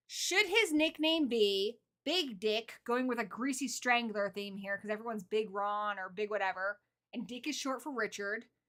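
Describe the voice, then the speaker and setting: The tone is bright and sharp, in an American accent. Pace is moderate, with ordinary pitch variation. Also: woman, fairly high pitch for a woman. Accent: American, learned as a child. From England, Suffolk (Ipswich). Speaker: horror YouTuber. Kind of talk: casual live-stream chat.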